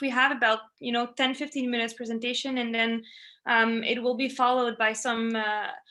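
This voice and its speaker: In a French accent, a woman speaks with a high pitch and a bright, sharp tone. Her intonation is fairly even, and her pace is fairly quick. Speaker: family medicine resident. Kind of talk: webinar presentation. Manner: halting, many fillers.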